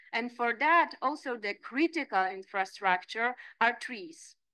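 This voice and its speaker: Speaking at a fairly slow pace with a Polish accent, a woman has a high pitch and a bright, sharp tone over a quiet background. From Poland. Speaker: landscape architect and lecturer; lecturer. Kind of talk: lecture. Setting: seminar room. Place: meeting room. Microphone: podium.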